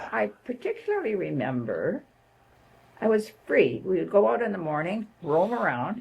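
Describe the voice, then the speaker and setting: A woman speaks with a Canadian accent. Noticeable background noise runs underneath. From Canada, northern Ontario (Sudbury). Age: 80s+. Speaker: retired nurse and social worker. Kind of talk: interview conversation.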